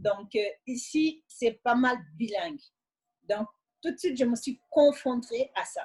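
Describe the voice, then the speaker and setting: In a Senegalese accent, a woman speaks at a fairly slow pace with a high pitch and ordinary pitch variation. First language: Wolof (speaking French). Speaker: immigrant sharing her experience. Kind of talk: interview testimony.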